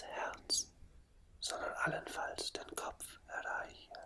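Whispering unfolds at a very slow pace against noticeable background noise. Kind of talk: ASMR re-enactment of an interview, asking questions. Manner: whispered, very close.

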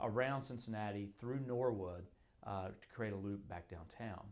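This man has a normal speaking voice, a fairly low pitch, fairly even intonation, and a moderate pace. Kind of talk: interview answer. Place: office. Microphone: lapel.

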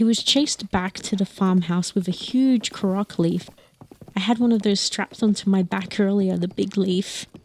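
A woman with a medium-pitched, somewhat breathy voice talks at a moderate pace with fairly even intonation and very even loudness, in a dry, close sound with no echo. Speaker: storyteller and horseback tour guide. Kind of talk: storytelling in a fantasy world, casual riding chat mixed with dramatic narration. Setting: outdoors on horseback. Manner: warm, gentle, wistful.

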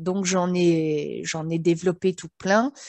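Over a quiet background, a woman with a fairly low pitch talks at a very slow pace with fairly even intonation and a dry sound with no echo. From Belgium. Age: 40s. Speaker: author and sophrologist; interviewee. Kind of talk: interview. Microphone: headset.

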